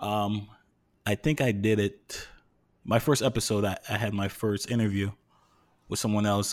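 A fairly low-pitched man with a New York accent at a moderate pace, on a very clean recording with a silent background. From New York City. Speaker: podcast host. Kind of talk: casual chat.

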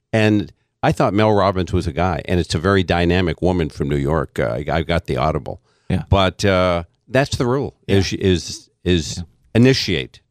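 In a very clean recording with a silent background and a dry, close sound with no echo, a man with a very deep, low pitch and vocal fry talks at a moderate pace with lively intonation. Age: 60s. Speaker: financial advisor and author. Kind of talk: casual chat. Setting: studio.

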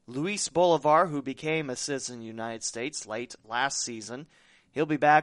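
Against a quiet background, a man with an unremarkable speaking voice talks at a fairly quick pace with lively intonation. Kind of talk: casual sports chat. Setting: studio.

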